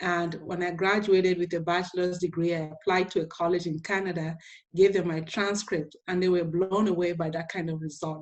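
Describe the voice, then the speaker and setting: A woman with an African accent speaks at a moderate pace and a fairly low pitch. Her intonation is monotone and flat, against a quiet background. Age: 50s. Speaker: inspirational speaker and teacher. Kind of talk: motivational talk to students.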